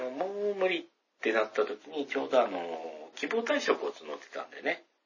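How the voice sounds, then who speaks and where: A man with a slight Kansai accent speaks at a fairly quick pace. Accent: faint Kansai. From Hyogo, Kansai, Japan. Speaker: podcast host. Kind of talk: solo casual talk. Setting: bathroom at home. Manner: subdued tone; low energy.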